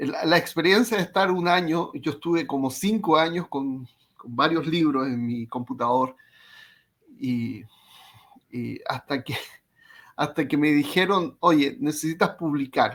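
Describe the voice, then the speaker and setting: Speech in a Chilean accent moves at a fairly slow pace with lively intonation and long, frequent pauses. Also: man, fairly high pitch for a man. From Chile, Concepción. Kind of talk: casual interview chat.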